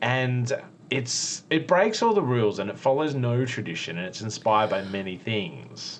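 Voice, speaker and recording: A man with an Australian accent, medium pitch and lively intonation. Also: moderate pace. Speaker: podcast co-host and former cooking show contestant. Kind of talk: casual chat. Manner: animated.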